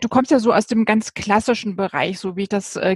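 The speaker is a woman. The sound is dry and close, with no echo. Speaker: podcast host. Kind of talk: interview. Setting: video call.

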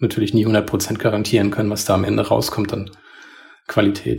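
This is a man speaking. His pace is very fast. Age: 40s. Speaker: podcast co-host. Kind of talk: casual chat. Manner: calm, composed.

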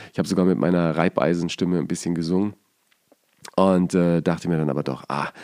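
A man with a very deep, low pitch and a dark, mellow tone talks at a fairly quick pace. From Bavaria. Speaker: podcast host. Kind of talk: podcast intro monologue; casual chat.

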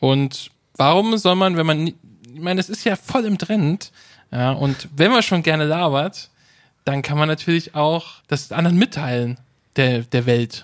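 Long, frequent pauses break up a man's fairly slow delivery. His fairly high voice has lively intonation. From Hesse, Rüsselsheim. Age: 30s. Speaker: podcast host. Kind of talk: casual chat.

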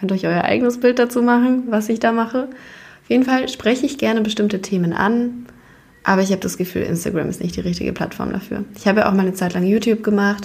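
Talking at a fairly quick pace, this woman shows ordinary pitch variation. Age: 20s. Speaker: podcast host. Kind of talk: casual monologue. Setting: office. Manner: casual, chatty.

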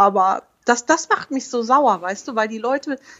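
A woman with a Rhineland accent at a very slow pace. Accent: regional Rhineland German accent, noticeable. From Oberbergisches Land, western Germany. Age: 30s. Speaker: mother and family blogger. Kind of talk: interview.

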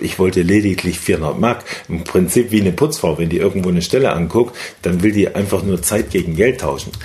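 Over noticeable background noise, a man talks at a very fast pace. His pitch is very deep and low, with ordinary variation. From Thuringia, eastern Germany (Weimar). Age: 50s. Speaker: network marketing entrepreneur. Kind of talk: interview.

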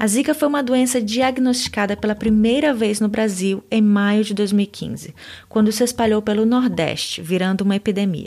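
This woman has a normal speaking voice pitched fairly high, with ordinary pitch variation. The recording is very clean, the background silent. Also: moderate pace. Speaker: language teacher podcaster. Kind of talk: language lesson.

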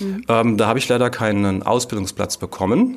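A man with an unremarkable speaking voice, medium pitch and a moderate pace. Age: 40s. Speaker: former special-needs teacher turned musical writer and editor. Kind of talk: interview.

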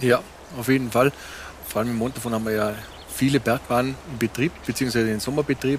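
Fairly even intonation from a man speaking at a medium pitch. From Montafon, Vorarlberg, Austria. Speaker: local guide co-host. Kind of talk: casual chat.

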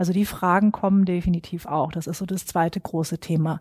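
Somewhat breathy, fairly low-pitched woman's voice with a dark, mellow tone, monotone, flat intonation and a moderate pace. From northern Germany (Schwerin). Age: 40s. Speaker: psychologist and HR recruiting expert. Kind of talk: interview.

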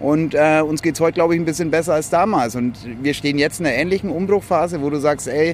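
A fairly high-pitched man with a slight Franconian accent, amid noticeable background noise. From Franconia, Germany (village near Ansbach). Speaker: social entrepreneurship network founder. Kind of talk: casual chat. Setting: outdoors on a rooftop terrace.

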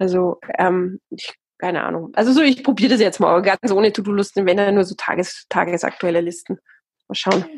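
In a plain, everyday voice, a woman talks fairly quickly at a medium pitch with ordinary pitch variation, the sound dry and close with no echo. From Austria. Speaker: TV presenter and author. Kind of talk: casual interview.

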